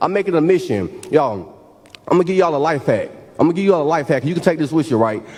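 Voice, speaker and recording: Noticeable background noise sits behind a man whose fairly high pitch moves with lively intonation. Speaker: keynote speaker, motivational speaker. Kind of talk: graduation keynote speech to a live audience. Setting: live event, auditorium with PA. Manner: energetic, interactive, encouraging.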